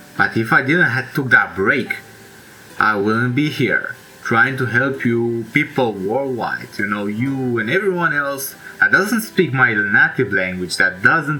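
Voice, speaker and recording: With a Romanian accent and a medium pitch, a man speaks at a fairly slow pace with lively intonation over noticeable background noise. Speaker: self-help YouTuber. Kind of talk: casual monologue. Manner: halting; informal.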